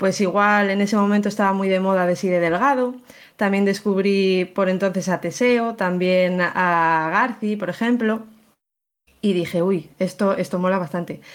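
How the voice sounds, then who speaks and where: A woman's plain, everyday voice at medium pitch, fairly slow in pace, with fairly even intonation and very even loudness, in a very clean recording with a silent background. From León, Spain. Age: 20s. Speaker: photographer. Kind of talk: interview.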